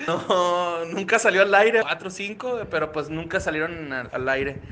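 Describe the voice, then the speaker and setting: A man's high voice with lively intonation at a fairly slow pace. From Ciudad Juárez, northern Mexico. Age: 30s. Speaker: comedian and podcaster. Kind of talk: recorded interview answers.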